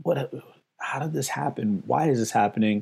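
Someone speaks at a very fast pace in a New York accent. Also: man. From New York City, the Bronx. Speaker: investing educator, former DJ. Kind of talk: interview.

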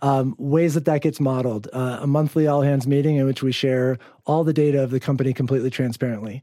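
Delivered at a very fast pace in an American accent, the dark, mellow voice keeps very even loudness and fairly even intonation on a very clean recording with a silent background. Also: man, medium pitch for a man. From US Midwest, Chicago suburbs. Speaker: startup founder and CEO. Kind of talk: interview.

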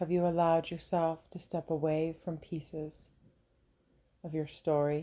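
A woman with a fairly low voice and a dark, mellow, calm, relaxed tone speaks at a fairly slow pace with monotone, flat intonation and long, frequent pauses on a very clean recording with a silent background. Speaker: podcast host and women's soul coach. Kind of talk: reflective monologue. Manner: calm and relaxed.

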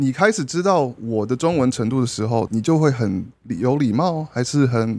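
At a moderate pace, a man speaks in a normal speaking voice with medium pitch and lively intonation, recorded very cleanly against a silent background. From grew up abroad (Brunei and elsewhere), born in Taiwan. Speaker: podcast guest. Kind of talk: casual chat. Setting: at a dinner table, eating while recording.

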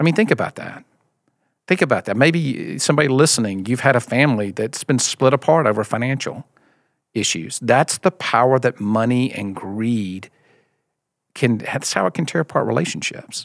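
With a slight Mississippi accent, a man speaks at a moderate pace and medium pitch with lively intonation, in a very clean recording with a silent background. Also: dry, close sound with no echo. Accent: slight Southern (Mississippi). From US South, Mississippi. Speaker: founder of a church generosity ministry. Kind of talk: casual interview about faith.

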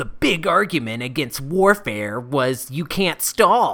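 A put-on character voice, low-to-middle in pitch, at a fairly slow pace. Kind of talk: forum-style argument. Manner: mocking, irritated.

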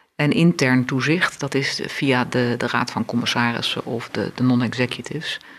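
Hardly pausing, a woman speaks with fairly even intonation at a very deep, low pitch. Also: moderate pace. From Africa and Brunei, expat childhood. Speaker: law professor and supervisory board member. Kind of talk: interview.

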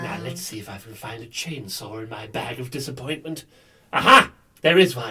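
Using a put-on character voice, a man speaks raspy and medium-pitched at a moderate pace with lively intonation. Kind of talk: comic improv. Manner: friendly and rambling, flipping to mock menace.

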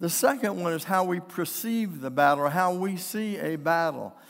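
Over a silent background in a very clean recording, a man speaks with lively intonation. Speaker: pastor. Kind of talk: sermon. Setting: church. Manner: animated, exhorting preacher with crowd call-and-response; jokey, warm and conversational between points.

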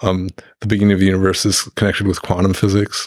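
In a very deep, low voice, a man speaks in a monotone with flat intonation, on a very clean recording with a silent background and a dry, close sound with no echo. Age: 60s. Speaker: physics professor. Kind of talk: interview. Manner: halting.

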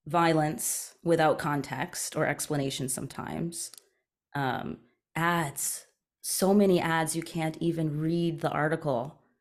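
Speaking at a fairly slow pace with a Canadian accent, a woman uses a very deep, low voice and fairly even intonation on a very clean recording with a silent background. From Eastern Canada. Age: 30s. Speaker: journalist and media company founder. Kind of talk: interview conversation.

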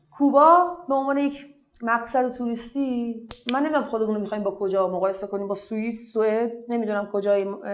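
Against noticeable background noise, a woman with a fairly high voice talks very fast with ordinary pitch variation. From Iran, family of Iraqi returnees. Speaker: blogger. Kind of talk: interview.

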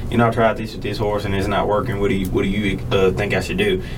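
Very fast and fairly even in intonation, a man speaks in a fairly low voice, with audible room echo and noticeable background noise. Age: 20s. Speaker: university student and roper. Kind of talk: casual interview chat.

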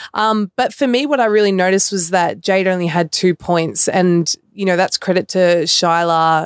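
A woman's fairly low voice with ordinary pitch variation and very even loudness, at a moderate pace with hardly any pauses, in a dry, close sound with no echo. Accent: Australian. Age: 20s. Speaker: professional basketball player. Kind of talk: casual sports chat.

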